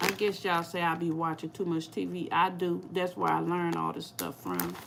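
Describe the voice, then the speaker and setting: A woman talks at a moderate pace with a St. Louis accent. Background noise is noticeable. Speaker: cooking YouTuber. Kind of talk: casual livestream chat.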